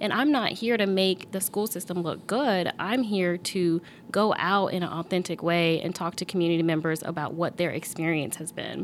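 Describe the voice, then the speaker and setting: At a fairly low pitch, a woman speaks in an ordinary speaking voice at a moderate pace, with ordinary pitch variation and hardly any pauses. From Norfolk, Virginia. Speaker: community engagement consultant. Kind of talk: casual interview.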